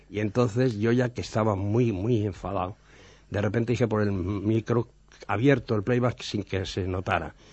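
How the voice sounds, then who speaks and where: Somewhat breathy and fairly low-pitched, a man talks at a moderate pace with fairly even intonation. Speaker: TV director. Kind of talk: anecdotal radio chat. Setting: radio studio.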